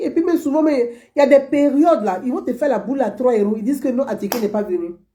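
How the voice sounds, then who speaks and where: Her pitch is high, with very wide swings, and her tone is dark and mellow. The woman talks at a very fast pace. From Côte d'Ivoire, Abobo (Abidjan). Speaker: online political commentator. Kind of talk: monologue commentary to viewers.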